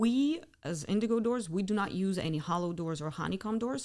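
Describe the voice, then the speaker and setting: Here a woman speaks with a Ukrainian accent. Her pitch variation is ordinary. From Ukraine. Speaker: custom door company CEO. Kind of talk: podcast interview.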